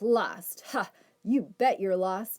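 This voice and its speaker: A put-on character voice, female-sounding and fairly high-pitched for a woman. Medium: read story. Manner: bossy, self-important; scornful.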